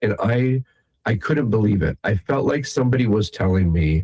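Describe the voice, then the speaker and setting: A man with an American accent, a dark, mellow tone and fairly low pitch, somewhat breathy, at a moderate pace, in a dry, close sound with no echo. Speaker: magician. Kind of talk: interview.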